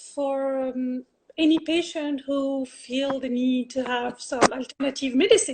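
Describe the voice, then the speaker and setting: A woman with a French accent and a high pitch speaks at a fairly slow pace. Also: ordinary pitch variation. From France. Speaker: health coach and Reiki practitioner. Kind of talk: interview. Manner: halting, many fillers.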